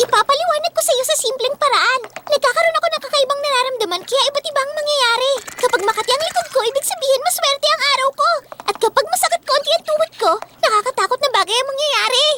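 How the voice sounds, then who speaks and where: In a put-on character voice, a female-sounding voice with an extremely high pitch and a bubbly, playful tone races along at a very fast pace. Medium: fan dub. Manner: bubbly, fast, playful.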